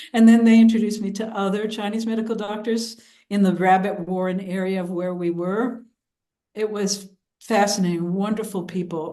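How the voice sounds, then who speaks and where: A woman talks at a moderate pace with fairly even intonation. Her tone is dark and mellow. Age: 70s. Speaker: writer and traditional Chinese medicine practitioner. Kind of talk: interview. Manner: halting.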